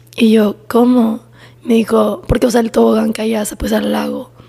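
Noticeable background noise behind a soft-spoken woman. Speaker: podcast co-host. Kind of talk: casual chat. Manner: quiet, speaking very softly.

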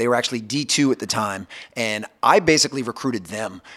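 A man is talking with ordinary pitch variation. His voice stays at a medium pitch. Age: 40s. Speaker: basketball performance coach. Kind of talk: interview.

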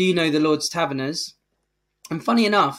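A man with an English accent at fairly high pitch, moderate pace and ordinary pitch variation, on a very clean recording with a silent background. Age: 40s. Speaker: charity chief executive. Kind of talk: interview.

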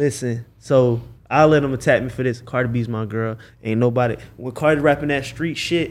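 A man speaks at a medium pitch and a moderate pace, with fairly even intonation. He has an unremarkable speaking voice. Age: 20s. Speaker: videographer. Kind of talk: casual chat.

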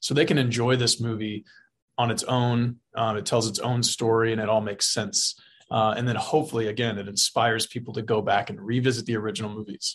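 A man's somewhat breathy, medium-pitched voice with a Texan accent, monotone and flat, at a fairly quick pace. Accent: Texan American. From South Texas. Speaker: film director. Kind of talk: interview. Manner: halting, many fillers.

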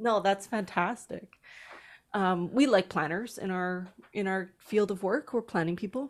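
A woman with a Canadian accent, a normal speaking voice, medium pitch and ordinary pitch variation. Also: fairly slow pace, very clean recording, silent background. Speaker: podcast co-host, educator. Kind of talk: interview conversation.

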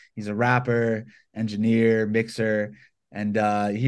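At a fairly slow pace, a man talks in an ordinary speaking voice at medium pitch. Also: quiet background. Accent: American. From US South, Georgia (Atlanta). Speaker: violinist and hip-hop producer. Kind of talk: interview. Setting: home studio (bedroom).

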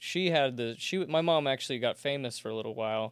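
An unremarkable speaking voice at a moderate pace, with ordinary pitch variation and a very clean recording against a silent background. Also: man. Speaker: comedian. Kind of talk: casual chat.

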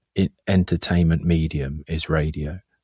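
The sound is dry and close, with no echo. A man speaks with fairly even intonation. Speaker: film composer. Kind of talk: casual interview chat. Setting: remote call.

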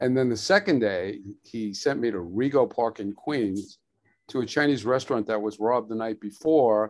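Speaking at a moderate pace in a New York accent, a man shows ordinary pitch variation. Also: medium pitch for a man, quiet background. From New York, Brooklyn. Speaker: photographer and painter. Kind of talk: casual interview.

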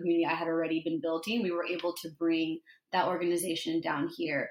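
With an American accent, a woman talks at a fairly quick pace. Her pitch is fairly low. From Los Angeles (East LA). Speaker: IT project manager. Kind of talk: casual chat.

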